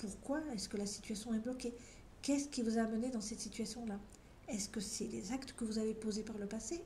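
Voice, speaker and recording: Audible room echo and noticeable background noise surround a woman speaking at a moderate pace and a fairly high pitch. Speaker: tarot card reader. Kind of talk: tarot reading video. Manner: conversational, some hesitations.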